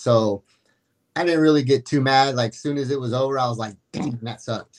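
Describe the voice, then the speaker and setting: At a fairly quick pace, a man with a plain, everyday voice speaks with ordinary pitch variation. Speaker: caller. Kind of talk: casual chat. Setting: video call.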